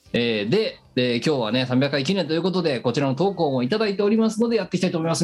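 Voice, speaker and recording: A man's high, animated voice at a very fast pace, with very wide pitch swings, very even loudness and hardly any pauses. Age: 40s. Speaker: web radio co-host. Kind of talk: casual chat. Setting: remote recording.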